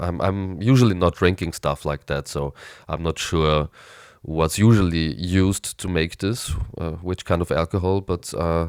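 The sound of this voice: Fairly slow and fairly even in intonation, the voice is nasal and raspy with a clear, smooth tone, on a very clean recording with a silent background. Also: man, low pitch for a man.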